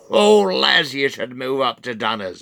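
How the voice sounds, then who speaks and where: Putting on a cackling, wheezy character voice, a man speaks at a fairly slow pace with a medium pitch and ordinary pitch variation. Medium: solo performance. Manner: wheezing, cackling, boastful.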